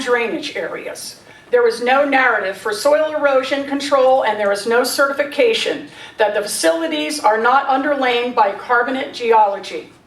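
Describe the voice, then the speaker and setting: Amid noticeable background noise and audible room echo, a woman with a high pitch speaks at a moderate pace with ordinary pitch variation. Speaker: resident speaking at public comment. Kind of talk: public comment at council meeting. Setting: council meeting hall. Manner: formal.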